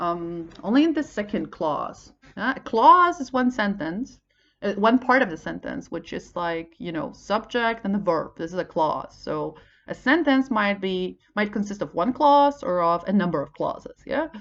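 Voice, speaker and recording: A woman with a Polish accent, medium in pitch, with very wide pitch swings. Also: moderate pace. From Poland. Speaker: English teacher. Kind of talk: tutorial. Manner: halting, many fillers.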